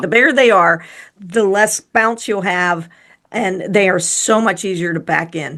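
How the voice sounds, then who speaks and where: Against a quiet background, a woman speaks at a fairly slow pace in a normal speaking voice. Her medium pitch shows ordinary pitch variation. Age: 60s. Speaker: podcast co-host. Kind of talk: casual chat.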